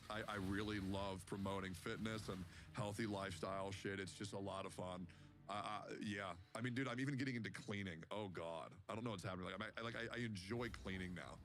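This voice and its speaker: The speech moves at a fairly quick pace, with audible room echo around it. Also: man, fairly low pitch for a man. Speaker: gaming streamer. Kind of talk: casual chat. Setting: live stream. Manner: loud; animated.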